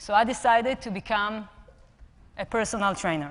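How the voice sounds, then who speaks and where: A woman with an Israeli accent talks at a moderate pace amid audible room echo. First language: Hebrew. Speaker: personal trainer and app co-founder. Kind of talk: conference talk. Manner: halting.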